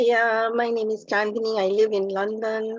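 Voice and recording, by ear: This woman's pitch is fairly high, with little movement. The sound is dry and close, with no echo. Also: moderate pace.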